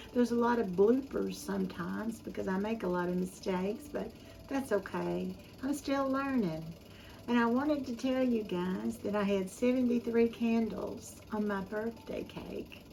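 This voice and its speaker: A woman with a dark, mellow, somewhat breathy tone talks at a moderate pace, her fairly high pitch varying in an ordinary way. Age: 70s. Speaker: home cooking YouTuber. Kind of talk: casual chat. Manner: halting.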